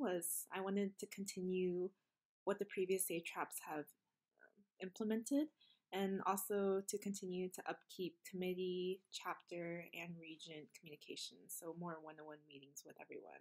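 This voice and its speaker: Against a quiet background, a woman speaks at a moderate pace with big swings in loudness. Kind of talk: casual introduction message. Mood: warm, a bit nervous, laughing. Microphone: webcam.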